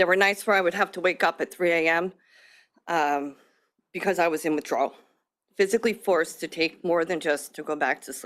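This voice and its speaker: A woman talks at a fairly quick pace with ordinary pitch variation. She leaves long, frequent pauses. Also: fairly low pitch for a woman, very clean recording, silent background. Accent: American. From Long Island, New York. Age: 30s. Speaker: member of the public testifying. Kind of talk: public testimony. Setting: legislative hearing at a podium.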